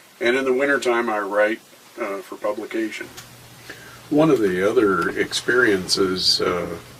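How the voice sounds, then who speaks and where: At a moderate pace, a man speaks with noticeable background noise behind him. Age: 60s. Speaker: war veteran. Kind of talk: interview. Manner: halting, many fillers.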